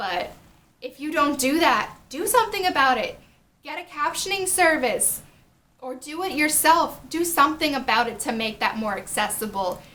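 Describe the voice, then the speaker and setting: A woman's raised, projected voice, high in pitch, moves at a moderate pace with very wide pitch swings. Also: big swings in loudness. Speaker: YouTuber and accessibility advocate. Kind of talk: vlog talking to camera.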